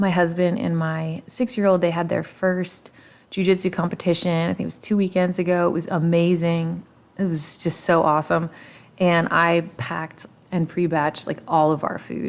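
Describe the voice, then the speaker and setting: Fairly low pitch from a woman, with fairly even intonation and a moderate pace. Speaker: podcast host, fitness and nutrition educator. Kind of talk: casual solo podcast talk. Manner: halting, many fillers.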